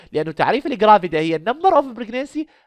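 A man with an Iraqi accent speaks in a high-pitched voice, recorded with a dry, close sound with no echo over a quiet background. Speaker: medical lecturer. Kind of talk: lecture.

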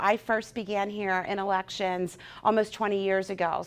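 With monotone, flat intonation, a woman talks at a moderate pace. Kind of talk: interview answer. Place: office. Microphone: lapel.

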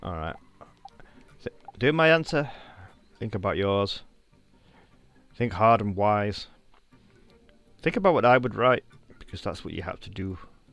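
A man's fairly low voice in a northern English accent, moderate pace with long, frequent pauses and big swings in loudness, dry sound with no echo, faint music in the background. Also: lively intonation. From northern England. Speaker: game streamer. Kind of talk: casual chat. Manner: animated.

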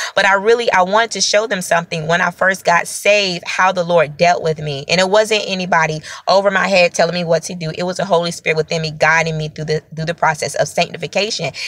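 Through noticeable background noise, a woman talks at a very fast pace. Her pitch is fairly low and her intonation fairly even. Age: 30s. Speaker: prophet, online preacher. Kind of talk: sermon-style video teaching. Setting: self-recorded video. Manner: repetitive, halting with fillers.

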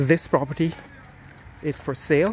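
Over faint background noise, a man with a slightly mellow tone speaks at a moderate pace and a fairly high pitch, with fairly even intonation.

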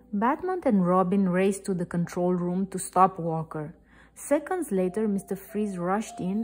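The speaker does a plain reading aloud.

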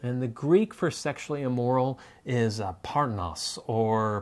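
A man speaks with ordinary pitch variation. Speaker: co-host of a faith-based relationship show. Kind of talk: scripted educational explainer. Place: home room. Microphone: lapel.

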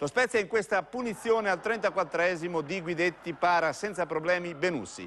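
A man's high-pitched voice at a moderate pace, ordinary pitch variation and hardly any pauses. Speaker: sports reporter. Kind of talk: sports match-report commentary, voiceover summary of highlights. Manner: brisk, fluent play-by-play delivery with steady rhythm; occasionally hesitates with 'eh' fillers and self-corrects.

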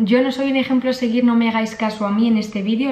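With music in the background and audible room echo, a woman talks in fairly even intonation. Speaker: vlogger. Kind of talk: casual vlog chat. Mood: playful, disgusted reactions. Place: home room. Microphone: camera far.

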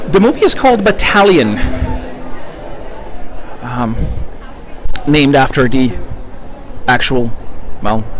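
The recording is dry with no echo, and a little background noise can be heard. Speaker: reporter livestreaming event. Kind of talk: casual livestream commentary. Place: street. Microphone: phone near.

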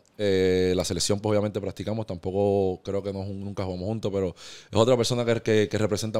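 Over a quiet background, a man with a fairly low pitch and a dark, mellow tone talks fairly quickly in a monotone, flat intonation with hardly any pauses. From Puerto Rico, Caguas area; Puerto Rico. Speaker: professional basketball player; podcast guest. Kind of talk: interview. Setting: barbershop studio. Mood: calm, reflective. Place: studio. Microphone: studio mic.

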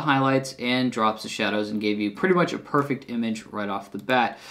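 Here a man with an unremarkable speaking voice talks at a fairly quick pace in a medium pitch. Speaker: camera gear reviewer. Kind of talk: casual video review. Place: home room.

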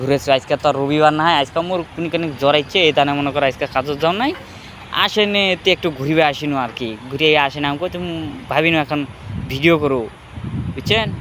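With a strong Bangladeshi accent, a man speaks at a fairly high pitch amid noticeable background noise. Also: ordinary pitch variation. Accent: strong regional Bangladeshi dialect. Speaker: migrant worker and vlogger. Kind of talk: casual vlog.

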